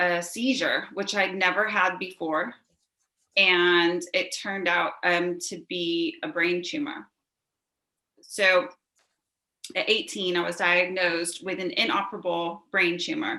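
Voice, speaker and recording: Talking at a fairly slow pace, a woman with an American accent has a bright, sharp tone. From US West Coast, Newport Beach, California. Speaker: interview guest. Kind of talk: interview testimony.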